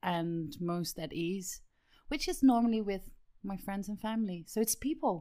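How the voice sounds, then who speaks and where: A woman speaks in an unremarkable speaking voice, medium in pitch with ordinary variation, at a fairly slow pace. The recording is very clean, with a silent background. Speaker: podcast co-host and theatre director. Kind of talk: podcast hosting and casual chat.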